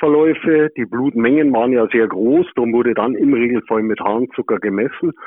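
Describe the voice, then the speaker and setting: Here is a man with an unremarkable speaking voice. His loudness stays very even, his pace is moderate and his pitch varies in an ordinary way. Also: medium pitch for a man, hardly any pauses. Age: 60s. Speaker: museum founder, plumber by trade. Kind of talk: interview. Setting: remote call.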